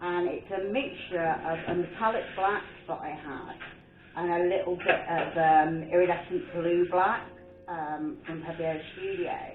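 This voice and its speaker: Noticeable background noise and audible room echo surround a woman speaking in a fairly low pitch with a Birmingham accent. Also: ordinary pitch variation. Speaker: art painter and video creator. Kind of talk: casual chat while painting. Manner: rambling, chatty.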